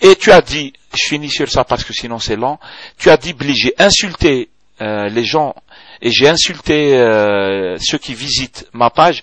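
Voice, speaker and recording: Speaking at a fairly slow pace, a man uses lively intonation and a fairly high pitch. His loudness swings widely. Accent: strong Algerian. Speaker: video blogger. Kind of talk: video blog reply. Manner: hesitant, many fillers and code-switching.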